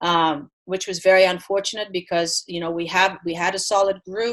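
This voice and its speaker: A woman speaks at a moderate pace with a medium pitch. Her intonation is flat and monotone over a quiet background. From Belgium. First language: Dutch and French. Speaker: college tennis coach. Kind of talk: interview. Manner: halting, repeats words.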